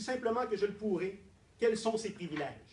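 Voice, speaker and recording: A man with a strong Quebec accent speaks at a high pitch with fairly even intonation. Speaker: doctoral prize winner, political scientist. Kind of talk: formal acceptance speech. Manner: formal.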